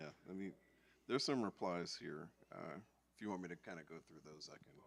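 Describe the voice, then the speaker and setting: The speaker is soft-spoken and talks at a fairly quick pace. The loudness swings widely. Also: man, very deep, low pitch for a man, ordinary pitch variation. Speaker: online question moderator. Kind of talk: reading online questions at workshop.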